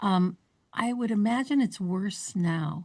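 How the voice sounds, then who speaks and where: Against a quiet background, a woman speaks in a medium pitch. Her voice is somewhat breathy, with ordinary pitch variation. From north central Ohio. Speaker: podcast host. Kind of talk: interview.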